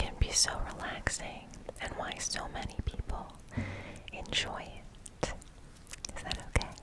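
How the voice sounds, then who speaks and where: A woman whispers at a moderate pace with long, frequent pauses. Noticeable background noise can be heard. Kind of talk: ASMR science explainer. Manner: whispered.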